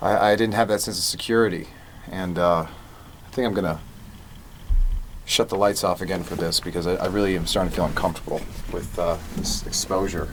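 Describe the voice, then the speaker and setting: A man with a very deep, low pitch speaks at a fairly quick pace with fairly even intonation over noticeable background noise. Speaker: podcast host and music producer. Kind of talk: personal monologue. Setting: live broadcast. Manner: stuttering; halting.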